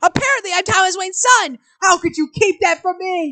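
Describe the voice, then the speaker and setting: A squeaky, put-on character voice from a woman, extremely high, raised and projected, at a fairly quick pace, with a dry, close sound and no echo. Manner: excited, raised voice.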